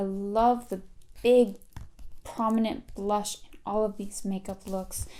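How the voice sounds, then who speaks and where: A woman's voice with a dark, mellow tone. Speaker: fashion youtuber. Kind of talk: casual read-through commentary. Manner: relaxed.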